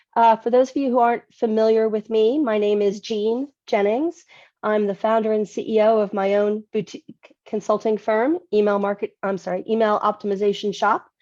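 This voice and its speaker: A woman with a fairly high pitch and a dark, mellow tone speaks with fairly even intonation and hardly any pauses. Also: dry, close sound with no echo. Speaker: email marketing consultant and speaker. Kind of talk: webinar presentation. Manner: fast-paced.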